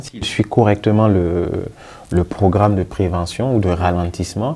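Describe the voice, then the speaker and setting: A man with a fairly low pitch and a dark, mellow tone speaks with ordinary pitch variation. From Burkina Faso. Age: young. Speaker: geriatric physician. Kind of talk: interview. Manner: halting, with fillers and repetitions.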